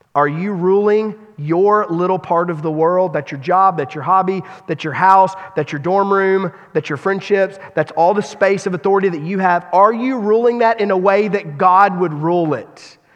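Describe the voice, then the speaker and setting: Noticeable background noise sits behind speech delivered at a moderate pace with ordinary pitch variation. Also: man, high pitch for a man. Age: 40s. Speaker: pastor. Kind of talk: sermon. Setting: church.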